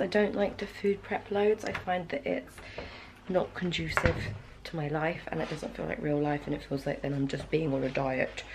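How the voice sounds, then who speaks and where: A woman with a British accent, lively intonation and a fairly quick pace, amid noticeable background noise. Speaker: fitness vlogger. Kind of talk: casual vlog talk to camera. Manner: soft-spoken.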